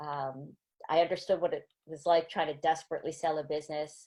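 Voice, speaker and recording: A woman's fairly low, fairly quick delivery in an American accent, an unremarkable speaking voice on a very clean recording with a silent background. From US, small town. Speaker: angel investor. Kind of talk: panel discussion.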